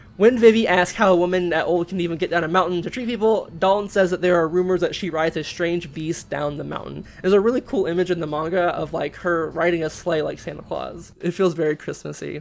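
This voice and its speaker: The speech runs at a very fast pace. There are hardly any pauses. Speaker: manga recap host. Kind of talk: casual story recap commentary. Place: home room. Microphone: webcam.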